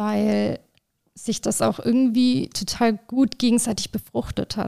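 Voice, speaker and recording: At a fairly slow pace, a woman speaks with a dark, mellow tone and fairly high pitch, in a very clean, dry, close recording with no echo and a silent background. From southern Germany. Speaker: artist and art director. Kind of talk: interview. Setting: in person.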